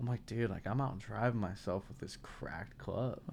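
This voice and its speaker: A man speaks at a moderate pace in a normal speaking voice, with an American accent and ordinary pitch variation, on a very clean recording with a silent background. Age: 20s. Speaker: content creator. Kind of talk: casual chat.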